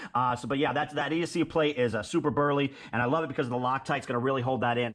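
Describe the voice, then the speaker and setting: This man's voice sits fairly high. His tone is enthusiastic. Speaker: RC hobby YouTuber. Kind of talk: product build showcase. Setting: home garage. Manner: enthusiastic, casual.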